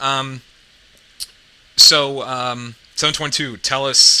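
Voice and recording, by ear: With a medium pitch and little pitch movement, a man speaks at a slow pace in a tone that is both bright and sharp and clear and smooth.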